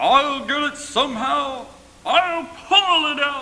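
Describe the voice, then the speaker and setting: In a raised, projected put-on character voice, a man speaks at an extremely high pitch and a fairly slow pace, with audible echo around him. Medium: read story.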